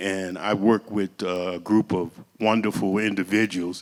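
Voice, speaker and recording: A man has an ordinary speaking voice at a fairly low pitch. He talks at a fairly slow pace with fairly even intonation. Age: 60s. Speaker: community organizer. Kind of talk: public talk. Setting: church event.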